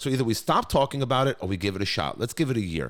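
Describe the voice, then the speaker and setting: A man with a New York accent, very fast, with very wide pitch swings and vocal fry, on a very clean recording with a silent background. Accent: New York American English. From New York (Brooklyn), US. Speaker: school executive. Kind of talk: podcast interview. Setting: studio. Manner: animated.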